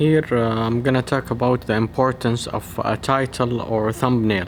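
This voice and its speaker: Speaking with a non-native accent, a man of medium pitch keeps his intonation fairly even. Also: moderate pace, very even loudness. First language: not English. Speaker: medical researcher / educational YouTuber. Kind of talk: tutorial.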